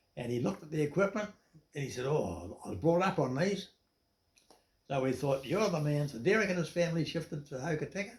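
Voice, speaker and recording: A man's fairly high, somewhat breathy voice with a New Zealand accent, lively intonation and a very fast pace. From New Zealand, Dunedin area. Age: 80s+. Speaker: retired businessman. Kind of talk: interview storytelling.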